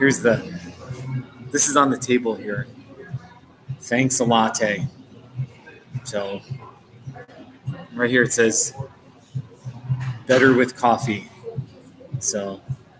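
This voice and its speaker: This man speaks at a very slow pace. His pitch is medium, and he has an American accent. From New Jersey / New York area, US. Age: 40s. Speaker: live streamer and author. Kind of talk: casual live stream chat. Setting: coffee shop.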